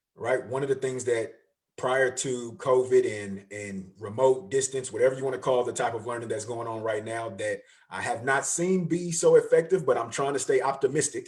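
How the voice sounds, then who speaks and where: A man with an American accent speaks at a moderate pace and medium pitch, with ordinary pitch variation. His voice is somewhat breathy and his tone animated. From San Francisco Bay Area, California. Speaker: educational consultant and motivational speaker. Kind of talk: casual interview on a livestream.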